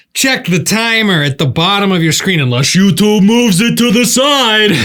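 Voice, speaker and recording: A man's lively intonation at a moderate pace, loudness very even, with audible room echo and noticeable background noise. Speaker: gaming podcast host and singer. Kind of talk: casual chat. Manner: casual, swears often. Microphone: new Rode video microphone.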